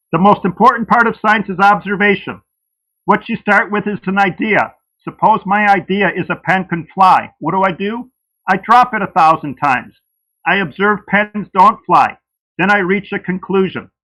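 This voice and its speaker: In a raised, projected voice, a man speaks at a moderate pace with a high pitch, a bright, sharp tone and fairly even intonation. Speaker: creationist debater. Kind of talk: debate opening statement. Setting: livestream debate.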